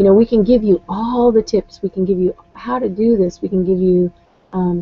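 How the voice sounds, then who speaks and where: This woman talks at a moderate pace in a somewhat breathy voice. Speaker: online business coach. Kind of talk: live webinar talk. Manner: hesitant, many fillers.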